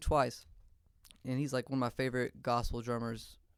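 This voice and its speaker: A man in a Louisiana accent talks at a moderate pace with fairly high pitch. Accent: Southern US (Louisiana). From US South, northern Louisiana (Shreveport). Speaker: drummer. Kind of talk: casual interview chat. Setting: studio.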